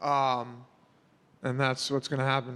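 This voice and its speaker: This man's voice is fairly high. He keeps a moderate pace. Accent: New York. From New York. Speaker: mixed martial arts fighter. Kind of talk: media scrum interview. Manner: casual, halting with fillers.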